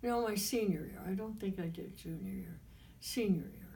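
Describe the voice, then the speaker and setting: A woman's somewhat breathy voice, medium in pitch with a dark, mellow tone and ordinary pitch variation, carries an audible room echo. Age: 90s. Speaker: interviewee recounting life history. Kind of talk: oral history interview. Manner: halting.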